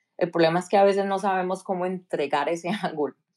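In a normal speaking voice, a woman talks at a fairly low pitch with fairly even intonation, recorded very cleanly against a silent background. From Colombia, Cali. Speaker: tech professional. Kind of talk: interview.

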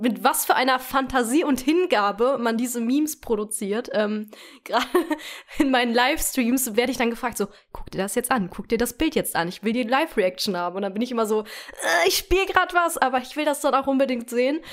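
In a very clean recording with a silent background, a woman with a high pitch speaks at a fairly quick pace with lively intonation. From western Germany (North Rhine-Westphalia). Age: 20s. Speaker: podcast co-host, Twitch streamer. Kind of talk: casual chat.

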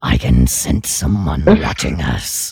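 A put-on character voice, raspy and very deep and low in pitch, at a fairly slow pace. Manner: ominous, imitating a character.

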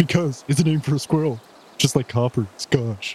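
A put-on character voice from a man, pitched medium and paced moderately. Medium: actual play. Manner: playful, goofy.

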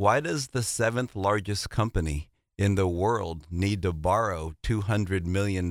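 A man speaks in a normal speaking voice. His pitch is fairly low. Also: dry, close sound with no echo. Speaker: state legislator and car dealer. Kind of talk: panel discussion.

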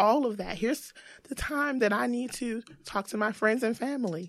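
In a normal speaking voice, a woman with an American accent talks at a moderate pace with lively intonation. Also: very clean recording, silent background. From US South, Greensboro, North Carolina. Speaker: marketing and digital transformation executive. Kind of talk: casual interview.

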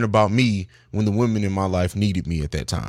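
An ordinary speaking voice from a man, fairly low in pitch, at a fairly quick pace and with an American accent. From raised overseas in Italy and Germany, US from 16. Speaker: podcast host and father. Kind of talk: casual chat.

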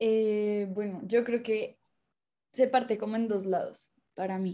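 Woman's fairly high voice, dark and mellow in tone, in monotone, flat intonation. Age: 20s. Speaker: music student and singer. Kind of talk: casual chat.

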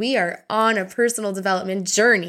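A woman with a Canadian accent speaks at a moderate pace in a normal speaking voice of medium pitch. The recording is very clean, the background silent. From Canada, Ontario. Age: 30s. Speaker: podcast host and life coach. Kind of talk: casual monologue.

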